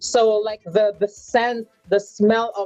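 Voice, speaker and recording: With music in the background, a woman speaks in a Filipino accent, the sound dry and close with no echo. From Philippines, Manila. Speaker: LGBTQ advocate. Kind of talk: casual interview.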